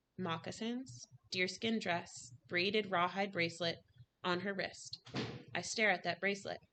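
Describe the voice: Reading aloud, plain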